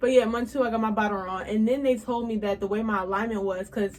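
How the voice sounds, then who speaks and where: Amid noticeable background noise, a woman speaks very fast in a fairly high voice with fairly even intonation. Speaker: beauty and lifestyle vlogger. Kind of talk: casual vlog monologue.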